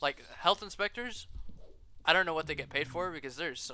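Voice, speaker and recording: At a very fast pace, a man speaks in an animated way, his tone bright and sharp and his intonation lively. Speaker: restaurant worker. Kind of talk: casual chat.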